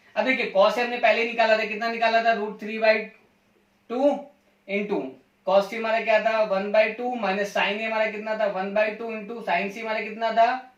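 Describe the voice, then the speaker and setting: In a room with audible echo, a man speaks at a moderate pace in a high pitch with monotone, flat intonation. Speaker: math teacher. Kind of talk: lecture.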